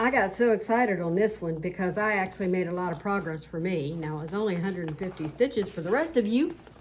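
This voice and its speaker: Very fast speech with hardly any pauses, in an Appalachian accent, with ordinary pitch variation and noticeable background noise. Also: woman, medium pitch for a woman. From West Virginia. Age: 60s. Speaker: cross-stitch video host. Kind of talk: casual chat.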